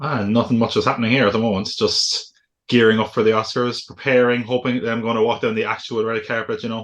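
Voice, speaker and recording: A man with a Cork accent talks at a very fast pace in a monotone, flat intonation. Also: medium pitch for a man. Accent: Cork Irish. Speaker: podcast co-host, educator. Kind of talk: casual chat.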